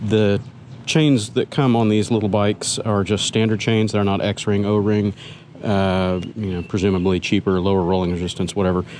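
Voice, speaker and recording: The man has an unremarkable speaking voice, fairly low in pitch, at a moderate pace with fairly even intonation. The sound is dry with no echo, and light background noise is present. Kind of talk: casual vlog chat. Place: street. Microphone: phone near.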